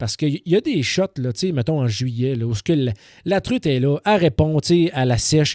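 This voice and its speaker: Recorded very cleanly with a silent background and a dry, close sound with no echo, a man uses a fairly high pitch, a dark, mellow tone and very wide pitch swings. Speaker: podcast host. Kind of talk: casual monologue. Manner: halting, many repetitions.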